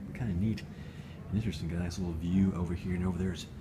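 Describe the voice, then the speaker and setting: A man whispers at a fairly quick pace amid noticeable background noise and audible room echo. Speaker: video blogger. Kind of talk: casual vlog walkthrough. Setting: library. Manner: whispering.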